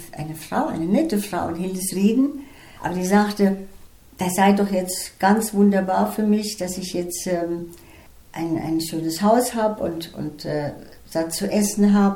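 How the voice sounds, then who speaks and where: At a fairly slow pace with long, frequent pauses, a woman speaks in a medium pitch with a dark, mellow tone, somewhat breathy and with ordinary pitch variation, amid audible room echo. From Estonia, German-speaking minority, then Germany. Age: 80s+. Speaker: retired flute teacher. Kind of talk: life story interview.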